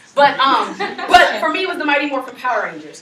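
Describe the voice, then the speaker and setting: The speaker has an animated tone and a fairly quick pace, with noticeable background noise behind them. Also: woman. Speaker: college student presenter. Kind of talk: class presentation. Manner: fast.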